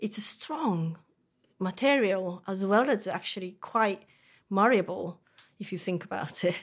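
A woman with a Japanese accent speaks at a fairly slow pace, with ordinary pitch variation and long, frequent pauses. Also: medium pitch for a woman. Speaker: metal artist. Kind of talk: interview. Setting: workshop. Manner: halting.

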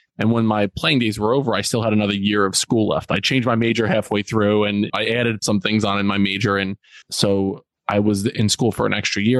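With an American accent and a normal speaking voice, a man of fairly low pitch talks at a fairly quick pace with fairly even intonation, sounding dry and close with no echo. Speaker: school principal and youth mentor. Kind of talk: interview conversation.

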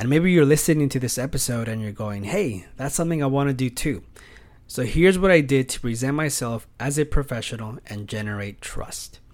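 Talking at a fairly quick pace, a man with an American accent uses a medium pitch and ordinary pitch variation. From California. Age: 30s. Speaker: podcast host and pet sitter. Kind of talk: casual monologue.

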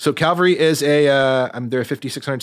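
A man speaks at a fairly quick pace in a normal speaking voice with ordinary pitch variation. The recording is very clean, with a silent background. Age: 30s. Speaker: concert lighting designer. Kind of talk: casual interview. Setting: studio.

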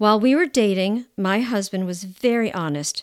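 In a very clean recording with a silent background and a dry, close sound with no echo, a woman with an ordinary speaking voice talks at medium pitch and a moderate pace, with ordinary pitch variation. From United States. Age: 60s. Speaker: podcast host. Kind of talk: personal storytelling monologue.

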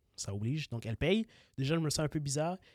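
The man's voice comes through dry and close with no echo, on a very clean recording with a silent background. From Congolese heritage. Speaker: podcast co-host. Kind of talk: casual chat. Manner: stammering.

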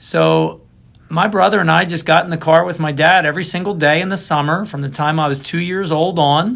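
On a very clean recording with a silent background, a man with a Philadelphia accent speaks quickly, at a fairly quick pace, with a high pitch. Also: fairly even intonation. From Philadelphia, northeast Philly. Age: 50s. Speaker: interviewee, athlete and kidney donor. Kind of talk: casual interview.

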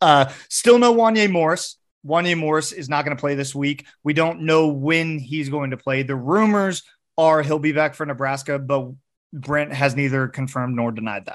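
Against a quiet background, a man talks in an animated tone at a moderate pace. His pitch is fairly high, with ordinary pitch variation. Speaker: podcast host. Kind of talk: casual sports podcast chat. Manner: animated, joking.

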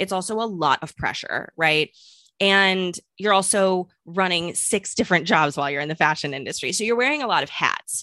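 A woman's medium-pitched voice with an American accent, bright and sharp in tone, at a moderate pace with lively intonation, dry and close with no echo against a quiet background. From US Midwest, St. Louis. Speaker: business consultant and entrepreneur. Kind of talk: interview.

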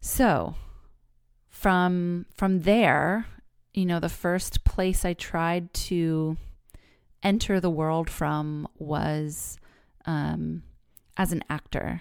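A woman at a very slow pace with long, frequent pauses, on a very clean recording with a silent background. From California, Bay Area. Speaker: podcast host, therapist. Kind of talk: solo podcast monologue.

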